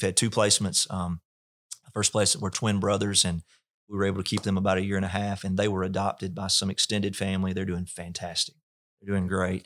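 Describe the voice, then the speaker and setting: With a Mississippi accent, a man talks at a very fast pace. His pitch is very deep and low, and his intonation is flat and monotone. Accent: Southern US (Mississippi). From US South, north Mississippi. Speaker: pastor. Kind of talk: interview testimony. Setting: church facility.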